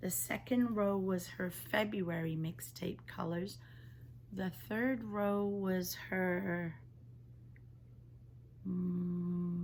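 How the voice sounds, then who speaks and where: Her voice somewhat breathy and fairly low in pitch, a woman talks at a very slow pace with ordinary pitch variation and long, frequent pauses. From England. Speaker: knitting podcaster. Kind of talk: casual talk to camera.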